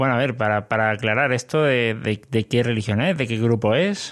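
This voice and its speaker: The speech comes in a Spanish accent with very even loudness and ordinary pitch variation. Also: man. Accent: Spanish (Spain). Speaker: podcast host. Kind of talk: interview.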